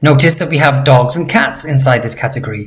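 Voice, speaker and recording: Audible room echo surrounds a man whose voice is fairly high. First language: not Georgian. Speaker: language teacher. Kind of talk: tutorial. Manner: slow, deliberate pronunciation of target words.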